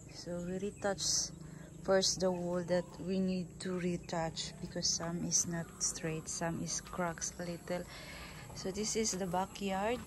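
Someone speaks at a very slow pace in a somewhat breathy, monotone voice with flat intonation, over noticeable background noise. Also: woman. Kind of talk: casual vlog chat. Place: garden. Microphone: phone near.

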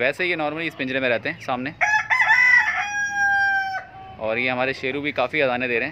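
Faint background noise sits behind a man's medium-pitched voice. His tone is bright and sharp, with ordinary pitch variation. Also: moderate pace.

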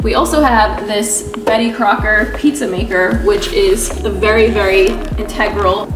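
Clear music plays behind a woman as she talks. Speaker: vlogger. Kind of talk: casual vlog chat. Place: kitchen. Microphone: phone near.

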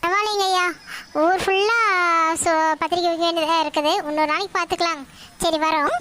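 Using a cartoonish character voice, a woman speaks at an extremely high pitch and a moderate pace, with fairly even intonation, very even loudness and clear background noise. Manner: polite, measured.

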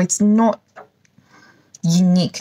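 Her voice is fairly low in pitch and somewhat breathy, with ordinary pitch variation. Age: 40s. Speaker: YouTuber, perfume reviewer. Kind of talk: product unboxing and review. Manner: animated. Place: home room. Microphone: phone near.

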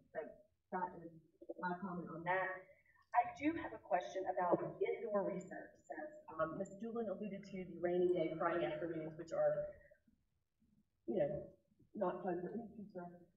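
In a room with audible echo, a woman talks at a moderate pace with long, frequent pauses and big swings in loudness. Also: ordinary pitch variation. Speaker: school board member. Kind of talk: board meeting discussion. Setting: video call. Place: meeting room.

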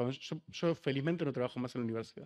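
Pitch varies in an ordinary way over a quiet background. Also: man. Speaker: panelist, writer and activist; panelist. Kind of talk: panel discussion. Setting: auditorium panel with audience and interpreters. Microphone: podium.

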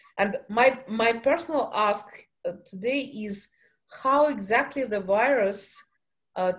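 A woman speaks very slowly with a Russian accent against a quiet background. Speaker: event moderator. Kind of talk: Q&A moderation. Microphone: video call.

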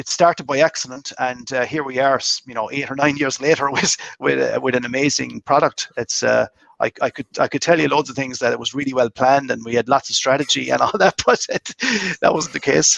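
A man with a Cork accent talks over a quiet background. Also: dry sound with no echo. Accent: Irish (Cork). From Ireland, County Cork (Mitchellstown); County Cork, Ireland. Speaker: master distiller; guest. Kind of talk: casual interview chat. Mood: warm, enthusiastic. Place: home room. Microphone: video call.

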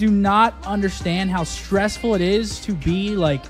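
Clear background music behind a man talking. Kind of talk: casual stream talk. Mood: reflective, relieved. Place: studio. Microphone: studio mic.

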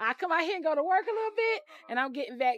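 A woman's voice with big pitch swings, in a dry, close sound with no echo.

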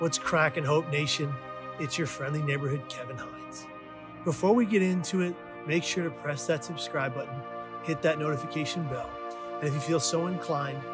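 Clear music plays in the background while a man speaks with ordinary pitch variation. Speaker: mental health storyteller. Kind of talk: personal story vlog. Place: garden.

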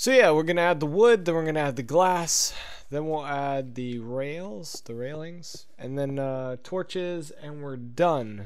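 In a normal speaking voice, a man talks at a fairly high pitch and a fairly slow pace, with ordinary pitch variation and big swings in loudness. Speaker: gaming YouTuber. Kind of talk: casual let's play commentary. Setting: home recording, gameplay voiceover. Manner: casual, filler-heavy, profane.

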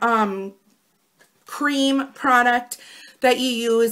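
A woman speaks at a very slow pace. Her voice is fairly high and fairly bright, with ordinary pitch variation.

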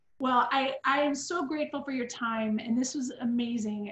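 A woman speaks at a moderate pace with a high pitch and fairly even intonation. Audible room echo is present. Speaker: interviewer and school host; school interviewer host. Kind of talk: interview. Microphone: video call.

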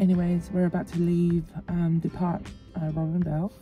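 There is faint music in the background. Over it, a woman talks fairly slowly. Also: dry sound with no echo. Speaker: vlogger. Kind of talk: casual vlog chat. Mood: relaxed, content. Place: car. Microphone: phone near.

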